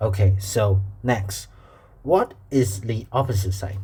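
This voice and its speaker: A man with a Chinese accent, fairly low in pitch, at a very slow pace, with audible room echo. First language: Mandarin Chinese. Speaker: math teacher. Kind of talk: tutorial. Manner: halting, with repetitions.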